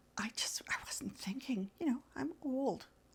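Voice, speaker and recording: A woman's voice with vocal fry. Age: 70s. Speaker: midlife lifestyle vlogger and author. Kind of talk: casual monologue. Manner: rambling, hesitant with fillers.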